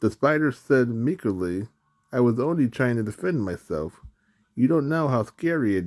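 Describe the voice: A quiet background behind plain reading aloud with lively intonation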